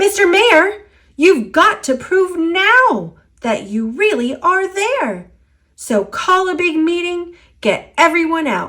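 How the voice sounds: A woman puts on a character voice at an extremely high pitch, fairly bright in tone. She speaks at a slow pace with big pitch swings.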